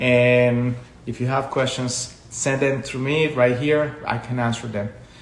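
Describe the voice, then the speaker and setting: Speaking fairly slowly in a flat monotone, a man with a medium pitch is heard through audible room echo and noticeable background noise. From Colombia. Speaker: education consultant. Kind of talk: live stream talk. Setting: social media live video.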